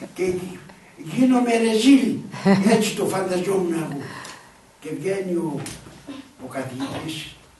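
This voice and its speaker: Speaking at a high pitch and a fairly slow pace, a man uses lively intonation with big swings in loudness and long, frequent pauses, amid noticeable background noise and audible room echo. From northern Greece, Pontic refugee family in Oraiokastro. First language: Pontic Greek (speaking Greek). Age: 80s+. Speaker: elderly local storyteller. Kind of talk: storytelling to schoolchildren.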